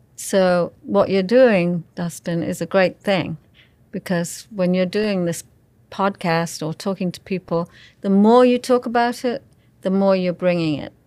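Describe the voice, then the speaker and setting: In a very clean recording with a silent background, a woman speaks at medium pitch and a fairly slow pace, her calm, dark, mellow tone marked by big swings in loudness. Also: ordinary pitch variation. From England. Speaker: spiritual healer and Reiki practitioner. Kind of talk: casual interview chat.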